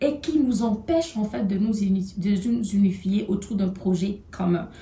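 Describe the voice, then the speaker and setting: Lively intonation from a woman speaking fairly slowly. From Togo. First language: an African language (not French) (speaking French). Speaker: political commentator. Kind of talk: video monologue. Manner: halting, many hesitations.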